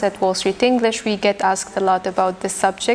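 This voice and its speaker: Noticeable background noise runs under a woman's voice. She speaks at medium pitch with fairly even intonation. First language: Arabic. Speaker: English teacher. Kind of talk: podcast interview.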